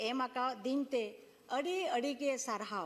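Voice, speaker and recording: A woman with a Jharkhand accent speaks at a high pitch. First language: Santali (speaking Hindi). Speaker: politician, member of parliament. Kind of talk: parliamentary speech. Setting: parliament chamber. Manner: formal.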